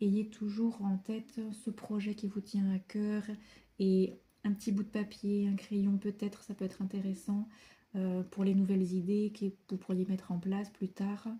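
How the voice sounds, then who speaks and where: A woman speaks fairly slowly at a medium pitch. Her tone is dark and mellow, and somewhat breathy. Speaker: tarot card reader. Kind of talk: tarot reading monologue. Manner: hesitant with many fillers.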